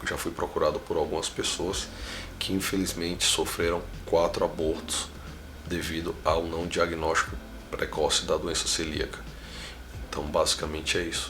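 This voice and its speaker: A man's speech, broken by long, frequent pauses, carries audible room echo and noticeable background noise. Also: moderate pace. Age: 30s. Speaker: founder of a patient advocacy movement. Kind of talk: interview.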